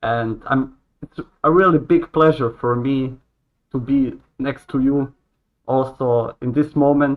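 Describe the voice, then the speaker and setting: A man with a medium-pitched voice speaks with long, frequent pauses. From Croatia. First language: Croatian. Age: 20s. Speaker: hotel worker. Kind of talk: casual interview chat. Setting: live stream video call.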